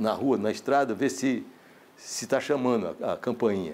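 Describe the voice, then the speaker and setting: The voice carries vocal fry at a moderate pace. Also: man. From Paraíba, Brazilian Northeast. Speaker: filmmaker. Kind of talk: interview testimony. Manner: halting, many repetitions.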